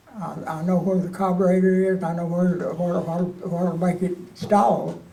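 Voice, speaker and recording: A man with a high pitch speaks at a fairly slow pace against noticeable background noise. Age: 80s+. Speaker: war veteran. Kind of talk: interview answer. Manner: casual storytelling.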